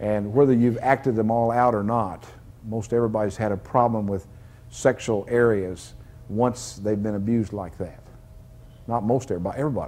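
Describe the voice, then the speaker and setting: A man with a dark, mellow tone at medium pitch speaks at a moderate pace, leaving long, frequent pauses. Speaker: deliverance minister. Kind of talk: deliverance prayer. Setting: church service with congregation. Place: church. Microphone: lapel.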